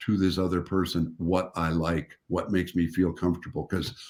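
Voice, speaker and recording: A man with a Canadian accent speaks in a very deep, low voice on a very clean recording with a silent background. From Canada. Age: 70s. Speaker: relationship and intimacy expert. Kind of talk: interview conversation. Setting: video livestream. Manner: halting.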